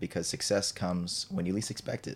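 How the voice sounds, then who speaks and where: A man speaks quite quickly with monotone, flat intonation. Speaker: podcast host. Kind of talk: casual interview chat.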